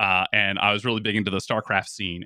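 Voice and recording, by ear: A man speaks with a bright, sharp tone. The sound is dry and close, with no echo.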